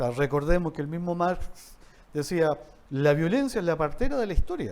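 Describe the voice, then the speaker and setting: A fairly high-pitched man talks at a moderate pace. His intonation is lively. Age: 60s. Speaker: university dean. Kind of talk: interview conversation. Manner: halting with repetitions.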